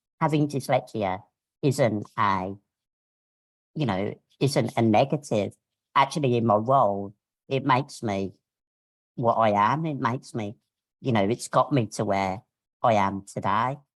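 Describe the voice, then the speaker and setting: With a Birmingham accent, the speaker goes at a fairly slow pace, with long, frequent pauses. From Birmingham, England. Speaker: media professional. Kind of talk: webinar panel talk. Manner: hesitant, many fillers.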